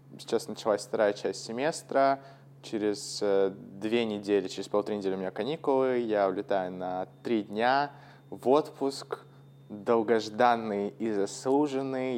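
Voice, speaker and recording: A man speaks in a normal speaking voice at a fairly slow pace, with medium pitch and ordinary pitch variation. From Russia. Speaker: podcast host, English teacher. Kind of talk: casual chat. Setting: call.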